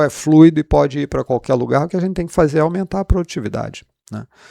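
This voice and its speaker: In a very clean recording with a silent background, a man with a fairly high voice speaks with a Rio de Janeiro accent. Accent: Rio de Janeiro (carioca) accent, kept. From Rio de Janeiro, Brazil. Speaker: economics professor. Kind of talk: interview. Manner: hesitant, repeats words.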